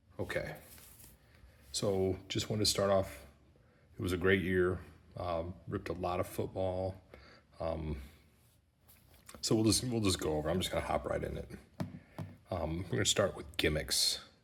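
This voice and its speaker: A quiet, somewhat breathy man whispering, with long, frequent pauses. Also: moderate pace. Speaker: sports card collector YouTuber. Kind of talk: casual product review. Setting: empty remodeled room. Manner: whispering, quiet.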